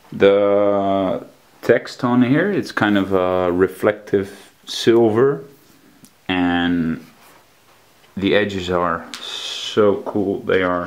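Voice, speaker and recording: A man's fairly low voice with a Dutch accent and fairly even intonation, over noticeable background noise. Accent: non-native English, Dutch. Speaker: collectibles reviewer. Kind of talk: product review. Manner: halting, frequent fillers.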